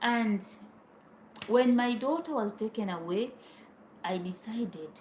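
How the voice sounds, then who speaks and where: With noticeable background noise, a woman speaks with a Tanzanian accent at a fairly high pitch and with lively intonation. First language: Swahili. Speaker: vlogger. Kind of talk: personal storytelling. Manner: informal.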